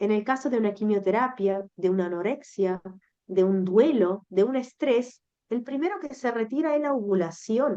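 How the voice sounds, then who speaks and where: A woman with a non-native accent, fairly high in pitch with a dark, mellow tone, at a moderate pace. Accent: foreign accent, noticeable. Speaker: menstrual educator. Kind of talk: interview conversation. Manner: halting.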